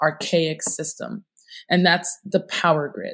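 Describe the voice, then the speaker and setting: A woman speaks with an unremarkable speaking voice. Her pitch is fairly low. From upstate New York, US. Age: 30s. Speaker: entrepreneur. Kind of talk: interview.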